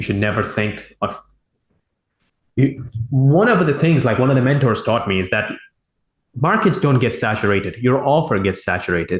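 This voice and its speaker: This man's voice is somewhat breathy, at medium pitch with very wide pitch swings. He keeps a moderate pace but leaves long, frequent pauses. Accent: non-native. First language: not English. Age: 20s. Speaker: e-commerce entrepreneur, interview guest. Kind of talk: interview. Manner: halting, self-correcting.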